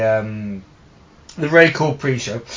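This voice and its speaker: A man with a southern English accent talks at a fairly slow pace with lively intonation over noticeable background noise. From southeast England (Orpington, Kent). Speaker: podcast co-host, wrestling fan. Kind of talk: casual chat.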